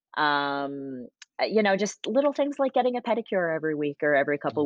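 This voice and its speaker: A woman speaks at a fairly low pitch. Her voice makes very wide pitch swings. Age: 40s. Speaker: wedding photographer. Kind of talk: casual interview conversation. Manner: hesitant, many fillers.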